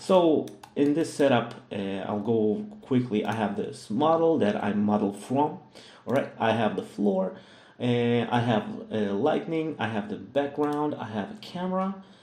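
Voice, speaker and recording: Fairly slow speech from a man, with room echo audible. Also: medium pitch for a man, lively intonation. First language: Russian. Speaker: 3D modeling tutor. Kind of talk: tutorial. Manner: hesitant, many fillers.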